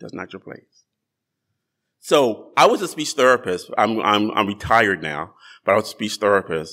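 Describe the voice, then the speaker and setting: The speaker has an American accent and a bright, sharp tone that is also warm and animated, at a moderate pace. The recording is very clean, with a silent background. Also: man. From New Jersey. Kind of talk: sermon. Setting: church. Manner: animated, conversational storytelling; warm, friendly, pulpit-style cadence with call for Amen.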